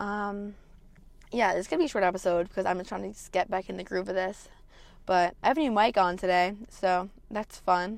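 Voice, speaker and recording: Using a normal speaking voice, a woman talks at a fairly quick pace with a medium pitch and fairly even intonation. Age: 20s. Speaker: podcast host. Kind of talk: casual monologue.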